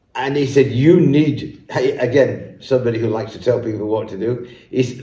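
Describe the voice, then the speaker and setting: The voice is somewhat breathy with a dark, mellow tone, moving at a moderate pace with ordinary pitch variation amid audible room echo. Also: man. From northern England, Leeds. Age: 70s. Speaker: business leader. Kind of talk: interview.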